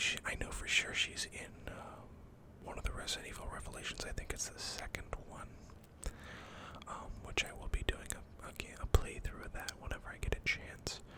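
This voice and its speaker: Someone whispers at a moderate pace while noticeable background noise fills the recording. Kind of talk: casual talk to camera. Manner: whispered.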